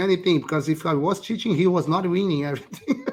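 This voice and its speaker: At a moderate pace, a man with a Brazilian accent speaks in a high pitch. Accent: Brazilian, non-native English. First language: Portuguese. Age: 40s. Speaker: poker player and esports founder. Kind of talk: casual interview. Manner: halting.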